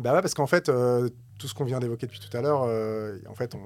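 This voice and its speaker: In an ordinary speaking voice, this man keeps to a medium pitch. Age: 40s. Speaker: musician, entrepreneur and novelist. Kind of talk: casual conversation.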